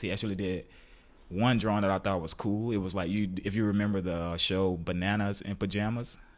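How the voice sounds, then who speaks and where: With an American accent, a man uses an unremarkable speaking voice, fairly low in pitch, moving at a fairly quick pace with fairly even intonation. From US South. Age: 20s. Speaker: painter. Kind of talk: casual chat. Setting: home studio.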